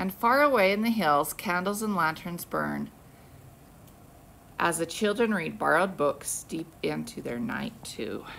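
Over light background noise, a woman speaks at a fairly slow pace. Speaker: teacher. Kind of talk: read-aloud to children. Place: classroom. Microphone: phone near.

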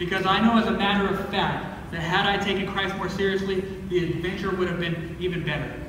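A man with a high-pitched voice speaks in a flat monotone, with strong room echo and noticeable background noise. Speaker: pastor. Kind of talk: sermon. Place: church. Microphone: camera far.

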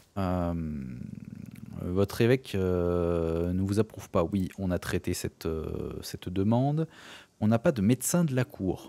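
Very deep, low male voice with a dark, mellow tone, ordinary pitch variation, a very slow pace, and long, frequent pauses, dry and close with no echo. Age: 30s. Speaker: gaming YouTuber. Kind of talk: let's play commentary. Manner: hesitant, many filler sounds.

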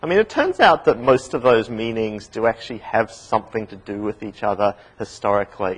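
The voice carries an Australian accent. Its intonation stays fairly even. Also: man. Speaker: university lecturer. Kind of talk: lecture. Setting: classroom with small studio audience. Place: classroom.

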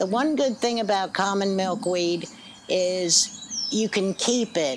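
Noticeable background noise sits behind the speech. A woman talks at a fairly slow pace. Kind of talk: interview answer. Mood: cheerful, enthusiastic. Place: street.

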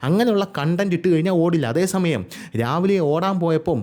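Ordinary pitch variation marks a man's voice that sits high in pitch. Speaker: YouTube news commentator. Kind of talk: solo video commentary.

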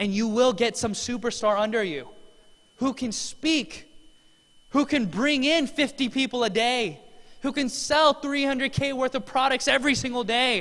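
A man with an extremely high pitch and a bright, sharp tone speaks at a fairly slow pace. His delivery is animated, with ordinary pitch variation. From US, Korean immigrant parents. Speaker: network marketing distributor; presenter. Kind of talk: motivational speech. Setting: stage with audience. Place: hall. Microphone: handheld.

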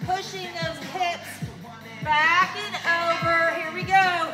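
A woman uses a raised, projected voice at a very slow pace. Clear music plays in the background. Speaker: fitness instructor. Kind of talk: workout instruction. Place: hall. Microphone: camera far.

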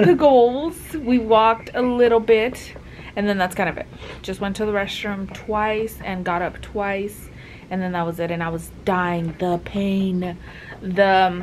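There is light background noise behind a woman's voice. Her pitch varies in an ordinary way. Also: fairly slow pace. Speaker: new mother vlogger. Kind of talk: casual vlog chat. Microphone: phone near.

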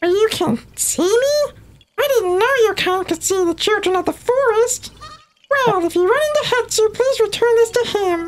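This put-on character voice is squeaky and extremely high in pitch, delivered at a moderate pace. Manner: cute, friendly.

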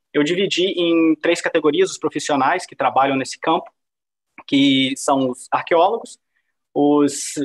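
A man with an ordinary speaking voice talks at a moderate pace, his fairly high pitch moving with ordinary variation over a quiet background. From Brazil. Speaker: PhD researcher in archaeometry; guest lecturer. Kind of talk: lecture. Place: home room. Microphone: video call.

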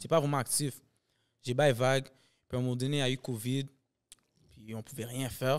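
A man speaks at a moderate pace. The background is quiet. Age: 20s. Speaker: comedian and sketch video maker; podcast guest, actor, comedian. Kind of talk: casual chat. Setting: studio. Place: studio. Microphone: studio mic.

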